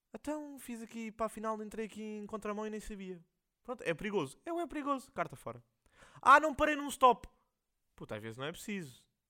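In a European Portuguese accent, a raised, projected voice with a bright, sharp tone moves at a fairly quick pace, with long, frequent pauses, very wide pitch swings and big swings in loudness. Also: man, high pitch for a man. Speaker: podcast host. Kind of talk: casual monologue. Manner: rambling, slangy.

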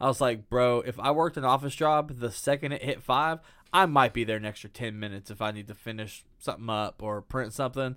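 A man talks at a very fast pace with hardly any pauses, in a bright, sharp, animated tone. His pitch is medium with ordinary variation, and the recording is very clean with a silent background. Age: 30s. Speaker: movie podcast co-host. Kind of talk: casual chat. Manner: casual and animated, laughs often.

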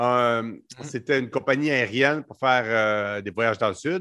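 Against a quiet background, a man at medium pitch speaks very slowly in a bright, sharp tone with ordinary pitch variation. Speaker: entrepreneur. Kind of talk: casual chat.

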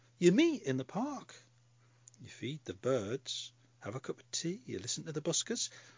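The speaker has a strong Scottish accent and an animated tone. The pitch swings very widely. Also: man. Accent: Scottish, broad. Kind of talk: comic character monologue. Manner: chatty, wry, animated.

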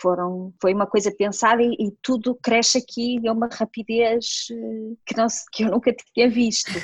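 This is a woman with a normal speaking voice, fairly high in pitch and fairly even in intonation. She talks at a moderate pace, and the sound is dry and close with no echo. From northern Portugal, near Porto. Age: 40s. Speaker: nurse. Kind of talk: casual interview.

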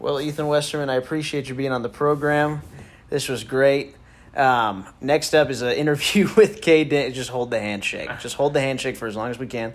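This man has a fairly high pitch, ordinary pitch variation and a normal speaking voice, moving at a moderate pace. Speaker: college sports podcast host. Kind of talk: casual banter and interview.

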